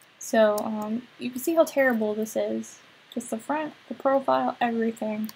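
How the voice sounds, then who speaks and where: A woman speaks at a moderate pace with a fairly high pitch. Her voice is somewhat breathy, with lively intonation. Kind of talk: tutorial. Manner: halting, many fillers.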